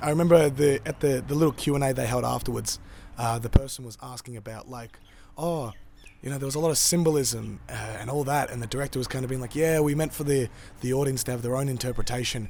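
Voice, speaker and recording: With an Australian accent, a man speaks very fast at a medium pitch, with fairly even intonation and big swings in loudness. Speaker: film reviewer. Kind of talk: casual review monologue. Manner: many fillers (uh, um).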